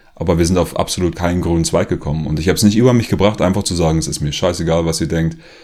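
A man with a very deep, low voice talks at a very fast pace with fairly even intonation amid noticeable background noise. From Germany, rural area. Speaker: author and former activist video maker. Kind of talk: personal monologue to camera.

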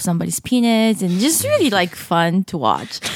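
This woman talks at a fairly quick pace with a medium pitch. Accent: Japanese. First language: Japanese. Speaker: comedian. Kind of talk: casual chat.

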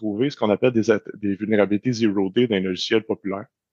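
With a Quebec accent, the speaker talks at a fairly quick pace with ordinary pitch variation, in a dry, close sound with no echo. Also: man. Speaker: cybersecurity expert. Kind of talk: interview. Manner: halting.

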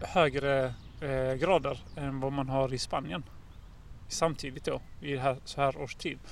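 Very slow in pace, a man speaks at a fairly high pitch. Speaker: education company representative. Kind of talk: casual chat. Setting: outdoors.

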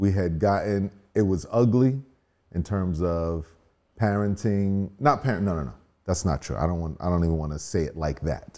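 With a very deep, low pitch and ordinary pitch variation, a man speaks at a moderate pace on a very clean recording with a silent background. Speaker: married guest, father. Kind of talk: casual interview conversation.

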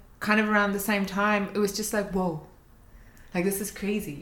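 Amid noticeable background noise and audible room echo, a woman with a New Zealand accent speaks at a moderate pace with a fairly high pitch. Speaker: podcast co-host. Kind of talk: casual chat.

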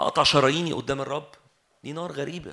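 A man's bright, sharp tone carries vocal fry and ordinary pitch variation. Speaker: preacher. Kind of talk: sermon.

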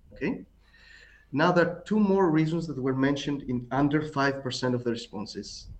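This man speaks with a Greek accent at a fairly high pitch. His pitch varies in an ordinary way. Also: moderate pace. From Greece. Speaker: tango author. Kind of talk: casual chat.

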